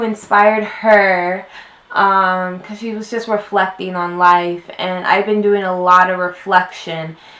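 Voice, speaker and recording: Noticeable background noise under a woman's fairly slow speech. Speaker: YouTuber. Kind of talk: casual vlog talk. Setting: at home, wearing a robe. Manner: chatty, filler-heavy.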